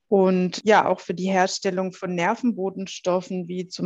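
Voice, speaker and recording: A woman at a medium pitch and a fairly slow pace. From southern Germany, Heilbronn. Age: 40s. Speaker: health coach for a metabolic disorder. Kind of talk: interview podcast.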